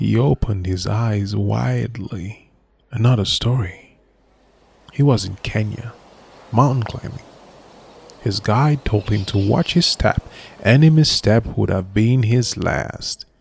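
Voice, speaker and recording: With lively intonation and a somewhat breathy sound, the speaker goes at a fairly slow pace with long, frequent pauses. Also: man, fairly low pitch for a man. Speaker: voice actor. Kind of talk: audio story narration. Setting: studio. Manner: slow, somber.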